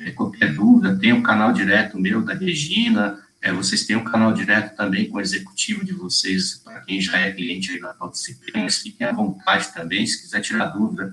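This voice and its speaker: Against noticeable background noise, a man speaks at a moderate pace with hardly any pauses and big swings in loudness. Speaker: webinar presenter, software sales consultant. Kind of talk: webinar presentation.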